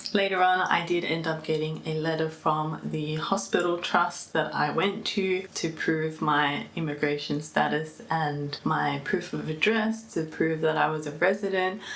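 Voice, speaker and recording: With an Australian accent, a woman speaks fairly slowly with hardly any pauses, in a very deep, low pitch with fairly even intonation. Noticeable background noise and audible room echo surround her voice. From Australia, Melbourne. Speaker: vlogger. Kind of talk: personal vlog. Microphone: mic unplugged, poor sound near end.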